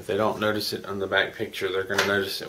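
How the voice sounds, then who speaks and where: Very fast speech from a man against noticeable background noise. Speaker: hobby model builder. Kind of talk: model kit build narration. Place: home room. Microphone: webcam.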